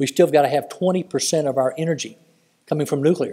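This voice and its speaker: A man speaks in a dark, mellow tone at a moderate pace. His pitch shows ordinary variation, and the background is quiet. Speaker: public speaker. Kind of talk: speech to an audience. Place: hall. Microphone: podium.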